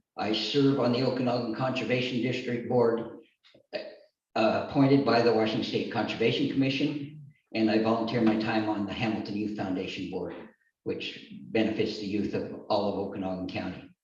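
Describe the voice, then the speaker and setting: Audible room echo surrounds a man speaking at a fairly quick pace, with medium pitch and ordinary pitch variation. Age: 60s. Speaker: political candidate. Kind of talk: campaign speech.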